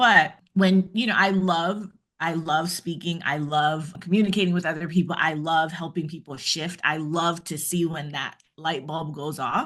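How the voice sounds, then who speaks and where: Over a quiet background, a woman speaks at a fairly slow pace with hardly any pauses, her pitch fairly low and her intonation fairly even. It is an ordinary speaking voice. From Jamaica, moved to US at nine. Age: 50s. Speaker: former trial lawyer turned keynote speaker. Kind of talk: interview conversation.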